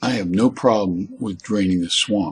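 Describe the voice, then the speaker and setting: A man's fairly low voice with an American accent. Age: 70s. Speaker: college teacher and essayist. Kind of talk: spoken essay monologue. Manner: halting, with repeated words.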